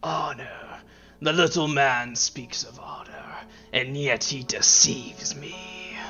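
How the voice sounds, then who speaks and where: A put-on character voice sits at a low-to-middle pitch and moves at a fairly slow pace. Faint music plays in the background. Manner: sneering, contemptuous.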